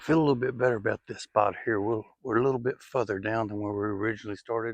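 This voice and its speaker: Speaking very fast with a Southern US accent, a man keeps a medium pitch and fairly even intonation. The sound is dry and close with no echo, against a quiet background. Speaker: outdoors vlogger. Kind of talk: casual vlog narration. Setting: outdoors.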